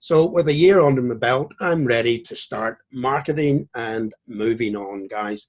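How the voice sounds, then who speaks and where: A man speaks with a Northern Irish accent and ordinary pitch variation. His pace is fairly slow, with hardly any pauses. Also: medium pitch for a man, big swings in loudness. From Northern Ireland, Belfast. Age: 50s. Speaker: trading educator. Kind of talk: tutorial. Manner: casual.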